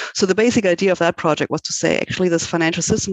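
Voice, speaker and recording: A voice with a German accent comes through noticeable background noise. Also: woman. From Germany. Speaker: law professor. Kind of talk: interview.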